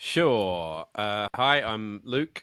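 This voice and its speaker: There is an Australian accent in this man's speech. He talks at a fairly low pitch. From Australia, Sydney. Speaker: head of community and content, podcast host. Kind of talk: webinar panel discussion.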